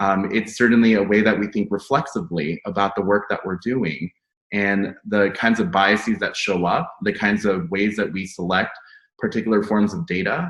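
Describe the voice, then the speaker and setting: A plain, everyday voice with ordinary pitch variation. The background is quiet. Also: man, fairly low pitch for a man, moderate pace. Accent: American. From United States. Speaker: academic panelist. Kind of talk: panel discussion.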